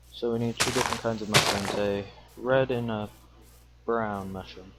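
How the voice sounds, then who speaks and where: With music in the background, a man talks at a moderate pace. His fairly low voice carries monotone, flat intonation. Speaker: gaming video creator. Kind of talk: let's play commentary. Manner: casual, chatty.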